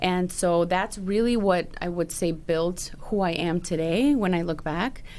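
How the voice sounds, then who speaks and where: A woman speaks with a Spanish accent at a fairly slow pace, her pitch fairly low and her loudness very even. She hardly pauses, and her pitch varies in an ordinary way. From Chicago, Little Village (Mexican-born, moved at five). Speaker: financial planner. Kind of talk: podcast interview.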